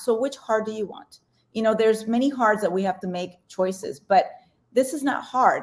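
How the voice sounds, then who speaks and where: The woman has a Spanish accent. She talks at a fairly quick pace. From Colombia. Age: 40s. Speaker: weight loss coach. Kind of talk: podcast interview. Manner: fast; animated.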